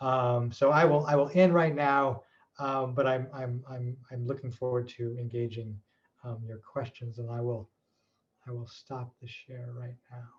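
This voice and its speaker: Somewhat breathy, a man speaks at a fairly slow pace and medium pitch. His intonation stays fairly even while his loudness swings a lot. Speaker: researcher. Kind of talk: webinar talk. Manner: halting.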